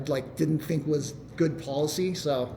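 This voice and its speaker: Over noticeable background noise and audible room echo, a man talks in a fairly high voice with fairly even intonation. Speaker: software developer presenting a tool. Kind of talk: meetup tech talk Q&A. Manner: fast.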